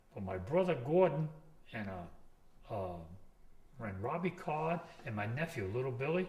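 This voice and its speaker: A man with an American accent speaks at a fairly slow pace in a medium-pitched, somewhat breathy voice, with very wide pitch swings and long, frequent pauses. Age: 60s. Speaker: commercial fisherman. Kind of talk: oral history interview. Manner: rambling storytelling with false starts.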